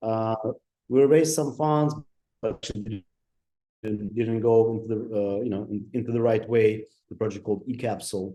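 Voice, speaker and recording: In a Ukrainian accent, a man speaks at a moderate pace and medium pitch with a dark, mellow tone and fairly even intonation, pausing long and often. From Ukraine. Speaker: digital designer and entrepreneur. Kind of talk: interview. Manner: halting, many fillers.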